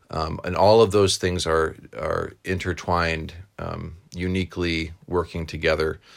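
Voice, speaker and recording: A man with an American accent talks at a fairly slow pace. His very deep, low voice stays monotone and flat. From New York. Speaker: podcast host and chaplain. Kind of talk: casual interview.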